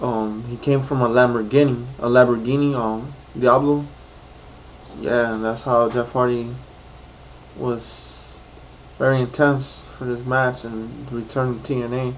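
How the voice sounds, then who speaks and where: Amid noticeable background noise and audible room echo, a man at medium pitch speaks at a fairly slow pace in a monotone, flat intonation, with long, frequent pauses. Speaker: YouTuber reviewing wrestling show. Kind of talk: casual vlog recap. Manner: rambling, halting with many fillers.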